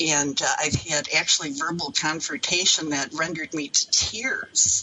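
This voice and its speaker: A woman speaks with a very deep, low pitch. There is noticeable background noise. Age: 70s. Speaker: elder abuse victim. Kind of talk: interview. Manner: halting.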